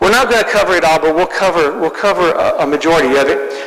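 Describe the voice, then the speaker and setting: Quick-ish delivery, noticeable background noise, and audible echo from the room. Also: man. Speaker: Bible class teacher. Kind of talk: lecture. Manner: fast. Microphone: sound issues at start of recording.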